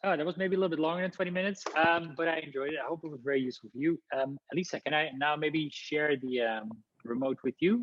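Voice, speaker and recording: The tone is energetic and the pace very fast. There are hardly any pauses. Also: man, fairly high pitch for a man, ordinary pitch variation. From Netherlands. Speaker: housing consultant, company founder. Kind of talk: webinar presentation. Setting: live webinar.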